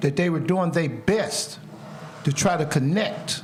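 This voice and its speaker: Noticeable background noise and audible room echo surround a man speaking at a moderate pace in a high pitch with ordinary variation. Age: 60s. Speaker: painter. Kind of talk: interview. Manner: animated.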